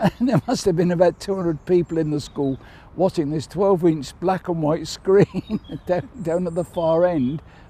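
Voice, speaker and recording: Speaking in an English accent, a man has a high pitch and a dark, mellow tone. He keeps a moderate pace with ordinary pitch variation. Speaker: Chelsea pensioner, army veteran. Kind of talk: interview answer.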